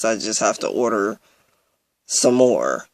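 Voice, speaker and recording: Speaking at a fairly slow pace, a man uses a medium pitch and monotone, flat intonation. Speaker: vlogger. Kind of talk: personal video update. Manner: halting, many fillers.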